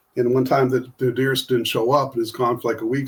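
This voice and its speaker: A man talks at a very fast pace with an American accent, his medium-pitched voice somewhat breathy. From US Midwest (Ohio). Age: 60s. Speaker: author and artist. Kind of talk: casual podcast interview. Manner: halting, many fillers.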